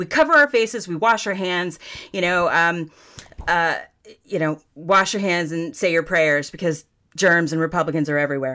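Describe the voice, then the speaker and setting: Her tone bright and sharp, a woman with an American accent speaks at a fairly low pitch and a moderate pace, with ordinary pitch variation. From US South. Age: 40s. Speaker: political candidate. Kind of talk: interview. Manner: folksy and profane.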